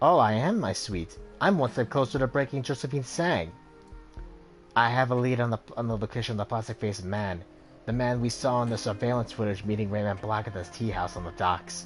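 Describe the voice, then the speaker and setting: Over clear music in the background, a man does a gravelly put-on character voice at a medium pitch and a fairly quick pace. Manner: warm, affectionate.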